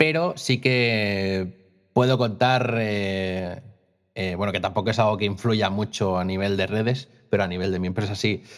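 The recording is very clean with a silent background as a man speaks with ordinary pitch variation. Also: fairly low pitch for a man, fairly slow pace. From Costa Brava, Catalonia, Spain. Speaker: graphic designer and clothing brand owner. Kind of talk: casual interview. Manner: hesitant, many fillers and repetitions.

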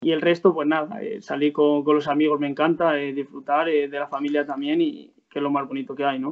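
A man speaks in a normal speaking voice at a fairly quick pace, his fairly high pitch moving with ordinary variation and hardly any pauses. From Spain, Salamanca province (Guijuelo area). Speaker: footballer. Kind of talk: interview.

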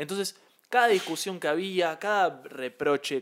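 A man talks at a moderate pace. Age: 20s. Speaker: podcast co-host. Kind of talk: casual chat.

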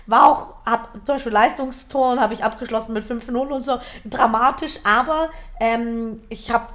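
Noticeable background noise sits behind a woman's fairly high voice with ordinary pitch variation. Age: 20s. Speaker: author and speaker. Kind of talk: interview.

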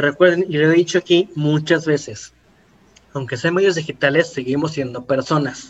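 In a plain, everyday voice, a man talks at a moderate pace with a fairly high pitch and fairly even intonation. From Mexico City area. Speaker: marketing podcast host. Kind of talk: casual educational chat.

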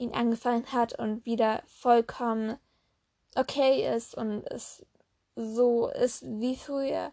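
A woman's dark, mellow tone at a very slow pace. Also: quiet background. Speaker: solo podcaster. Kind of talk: casual monologue, film review. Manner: halting, many fillers.

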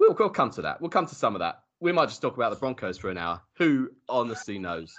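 A man speaks fairly quickly at a medium pitch, with vocal fry and very wide pitch swings. The background is quiet. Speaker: podcast host. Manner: jokey, chatty.

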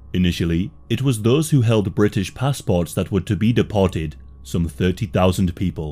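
A man speaks in a very deep, low voice that is somewhat breathy, with a dark, mellow tone, lively intonation, a moderate pace and very even loudness. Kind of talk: history documentary narration. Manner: measured, grave, steady narrator pacing; formal, matter-of-fact, sombre delivery.

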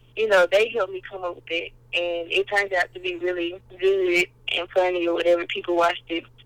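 A woman speaks with a Southern US accent. Her voice is fairly low and her pace moderate. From Mississippi (Kilmichael, rural). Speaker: college student and vlogger. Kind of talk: casual interview.

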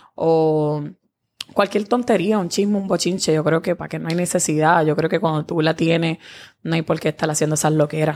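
With a plain, everyday voice, a woman speaks at a fairly low pitch and with fairly even intonation in a very clean recording with a silent background. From Dominican Republic (Santo Domingo). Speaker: social media personality. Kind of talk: casual chat.

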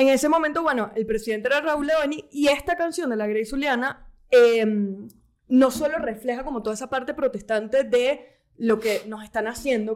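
With its pitch moving in a normal way, the speech comes at an average speed. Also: woman. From Venezuela, Caracas. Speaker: podcast co-host. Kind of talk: casual chat.

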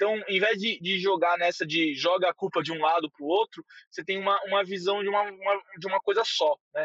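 At a fairly quick pace with hardly any pauses, a man speaks at a high pitch with ordinary pitch variation. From São Paulo, Brazil. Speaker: head of growth at a company. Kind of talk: casual interview.

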